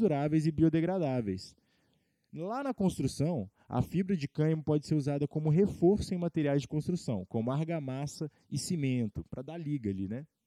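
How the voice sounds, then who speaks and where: A man with a fairly high voice and a dark, mellow tone speaks at a moderate pace with lively intonation. The sound is dry and close with no echo, against a quiet background. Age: 20s. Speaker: podcast host, cannabis enthusiast. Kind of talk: informational monologue partly read from script. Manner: casual, with fillers and self-corrections.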